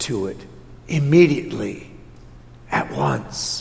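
Speaking very slowly with an Upper Midwest accent, a man lets his pitch swing very widely. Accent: Upper Midwest American. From Wisconsin, Watertown. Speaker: Lutheran pastor. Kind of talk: sermon. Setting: church.

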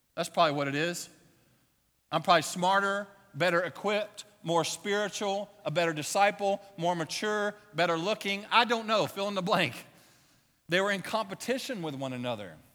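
Raised and projected, a man's voice sounds high in pitch. His tone is bright and sharp. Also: ordinary pitch variation, moderate pace. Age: 40s. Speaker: pastor. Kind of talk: sermon.

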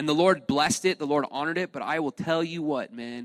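An ordinary speaking voice from a man, fairly high in pitch and at a fairly quick pace, in a very clean recording with a silent background and a dry, close sound with no echo. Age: 20s. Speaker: pastor. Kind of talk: sermon. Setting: church.

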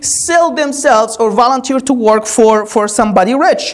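Noticeable background noise sits behind a woman whose high-pitched voice has an animated tone and lively intonation. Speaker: preacher. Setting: church. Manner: urgent, earnest pastoral appeal at the close.

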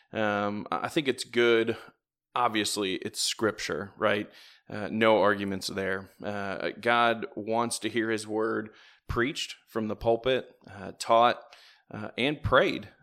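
Fairly even in intonation, a man speaks at a very slow pace. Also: medium pitch for a man. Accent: Midwestern American. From northern Indiana, near Fort Wayne. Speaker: church deacon. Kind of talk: casual chat. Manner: halting, many fillers.

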